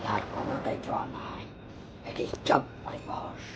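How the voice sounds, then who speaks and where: Over loud background noise, a put-on character voice delivers its lines at a moderate pace. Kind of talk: comic horror sketch. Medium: comedy sketch. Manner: menacing.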